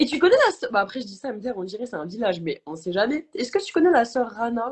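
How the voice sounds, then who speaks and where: A woman with a fairly high pitch speaks in very wide pitch swings. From Belgium, Brussels. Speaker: show host. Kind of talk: casual interview chat.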